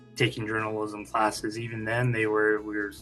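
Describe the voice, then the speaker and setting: There is music in the background. A man with an American accent speaks at a medium pitch. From Fresno, California, USA. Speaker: newspaper managing editor. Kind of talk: interview answer. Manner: hesitant, many fillers.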